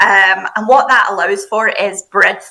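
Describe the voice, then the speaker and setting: In a Scottish accent, a woman talks at a moderate pace with a fairly high pitch and ordinary pitch variation. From Scotland. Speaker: university international recruitment staff. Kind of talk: podcast interview.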